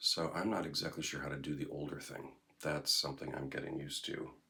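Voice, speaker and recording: Vocal fry runs through a man's bright, sharp tone. His intonation stays fairly even. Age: 60s. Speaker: vlogger. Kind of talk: casual monologue vlog. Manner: rambling, hesitant with fillers.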